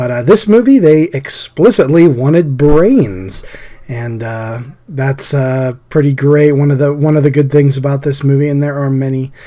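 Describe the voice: The voice has a dark, mellow tone and moves at a moderate pace with ordinary pitch variation. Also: man, medium pitch for a man.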